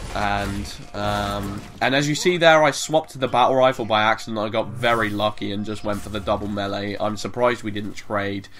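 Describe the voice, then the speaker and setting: A man at a fairly quick pace, ordinary pitch variation, hardly any pauses, and noticeable background noise. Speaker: gaming commentator. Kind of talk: video game commentary. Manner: casual, hesitant with many fillers.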